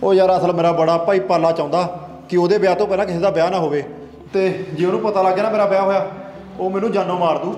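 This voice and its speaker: A man's high voice in a monotone, flat intonation, with audible room echo. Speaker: comedy sketch actor. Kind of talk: scripted comedy sketch dialogue. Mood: worried, pleading. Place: home room.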